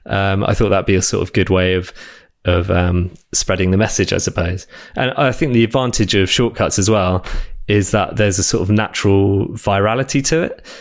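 A man with an English accent talks at a fairly quick pace. His pitch sits fairly low and varies in an ordinary way. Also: very even loudness. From southern England. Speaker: app developer. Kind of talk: casual interview. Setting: remote recording.

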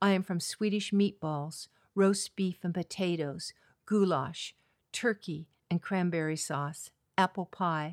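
Very slow speech from a woman with a Californian accent and a fairly low pitch, fairly even intonation, dry, close sound with no echo, and a very clean recording with a silent background. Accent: general American, Californian. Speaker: retired teacher and librarian, guest. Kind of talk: casual interview.

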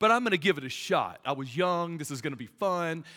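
In a very clean recording with a silent background, a man with a Southern US accent speaks in a fairly high, bright, sharp voice, his tone animated and his intonation lively. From US South. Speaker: pastor. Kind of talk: sermon. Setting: stage with audience.

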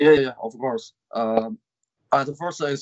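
With a Chinese accent, a man speaks at a fairly slow pace. His fairly high pitch shows ordinary variation. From northern China. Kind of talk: interview. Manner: halting.

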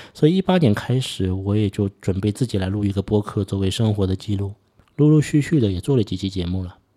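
A man's fairly low, dark and mellow voice at a fairly quick pace in a very clean recording with a silent background. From Suzhou, Jiangsu, China. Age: 40s. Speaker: podcast host. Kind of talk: solo podcast monologue.

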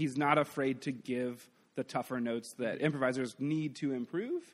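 A man at medium pitch talks in an ordinary speaking voice at a moderate pace with fairly even intonation. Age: 30s. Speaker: improv comedian. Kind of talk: casual chat. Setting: stage with audience.

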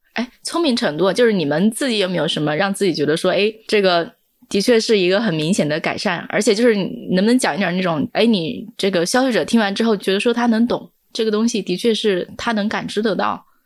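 A plain, everyday voice moves at a fairly quick pace with hardly any pauses. Pitch variation is ordinary. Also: woman, medium pitch for a woman. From Hunan, China. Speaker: podcast host, editor-in-chief. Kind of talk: interview moderation, casual.

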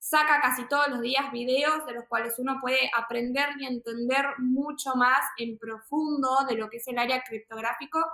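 A woman projects a raised, high-pitched voice with a bright, sharp tone at a fairly slow pace. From Argentina, Buenos Aires. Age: 20s. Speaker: entrepreneur, crypto investor. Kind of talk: interview.

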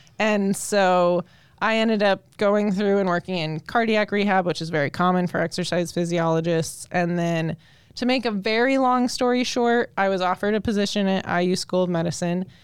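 A woman with an American accent speaks in a plain, everyday voice at a medium pitch with ordinary pitch variation. She keeps a moderate pace against a quiet background. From Colorado. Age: 30s. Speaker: exercise physiologist. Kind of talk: casual interview chat.

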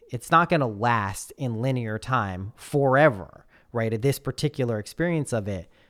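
Captured on a very clean recording with a silent background, a man has a plain, everyday voice at medium pitch, moving at a moderate pace with ordinary pitch variation. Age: 30s. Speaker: podcast guest. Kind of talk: casual chat.

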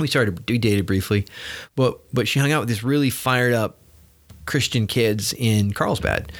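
Recorded very cleanly against a silent background, a plain, everyday voice speaks at a moderate pace with very even loudness and ordinary pitch variation. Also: man, medium pitch for a man. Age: 40s. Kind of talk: casual chat. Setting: office.

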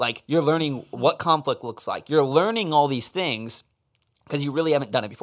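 At a moderate pace, a man with an ordinary speaking voice talks in a fairly high pitch with ordinary pitch variation. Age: 20s. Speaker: podcast host. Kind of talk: casual chat.

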